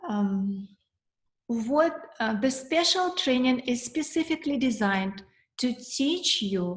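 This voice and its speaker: A somewhat breathy woman's voice with a Russian accent, lively intonation and a fairly slow pace. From former Soviet Union (Russia). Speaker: financial coach, accountant. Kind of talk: webinar presentation. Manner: halting, with fillers.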